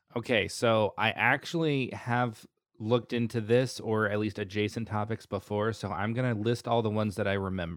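A plain, everyday voice: a man with an American accent, fairly low in pitch, at a moderate pace with fairly even intonation, in a very clean recording with a silent background. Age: 30s. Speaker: F1 podcast host. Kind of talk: casual chat.

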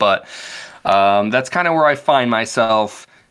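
A bright, sharp tone at a fairly slow pace, with lively intonation, on a very clean recording with a silent background. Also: man. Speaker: podcast host. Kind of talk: casual chat, book discussion podcast. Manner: casual, talkative, profane.

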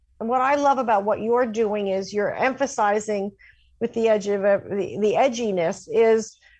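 A woman with an American accent speaks in a normal speaking voice, fairly high in pitch, at a moderate pace with ordinary pitch variation against a quiet background. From New York City. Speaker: career coach and journalist. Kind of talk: radio interview.

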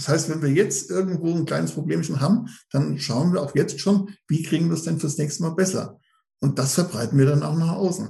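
At a moderate pace, a man speaks with a fairly high pitch, a dark, mellow tone, vocal fry and ordinary pitch variation. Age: 50s. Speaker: running group admin, police employee. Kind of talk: casual interview.

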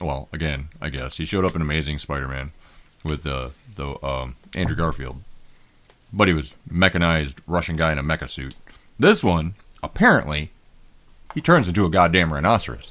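With an American accent, a man speaks in a very deep, low pitch with vocal fry. His pace is fairly quick, broken by long, frequent pauses. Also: ordinary pitch variation. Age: middle-aged. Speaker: podcast host. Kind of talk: casual banter. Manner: joking, irreverent.

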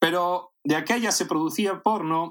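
A man is speaking. His pace is very slow. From Spain, A Coruña (raised from age eight, born in Caracas). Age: 40s. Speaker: adult film actor. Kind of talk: casual interview.

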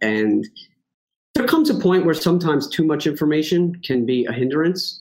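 A man speaks with a strong New York accent. His voice is fairly high, and his intonation is lively. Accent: thick New York. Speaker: horse racing handicapper. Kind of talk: casual chat. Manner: fast.

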